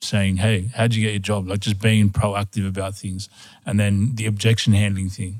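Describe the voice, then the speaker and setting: A man with an Australian accent at a moderate pace, in a monotone, flat intonation, on a very clean recording with a silent background. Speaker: podcast co-host. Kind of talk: interview.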